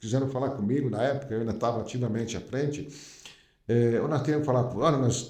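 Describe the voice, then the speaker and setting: Somewhat breathy and dark, mellow in tone, a man speaks at a medium pitch with ordinary pitch variation amid audible room echo. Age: 60s. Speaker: company founder. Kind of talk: podcast interview. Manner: hesitant, many fillers.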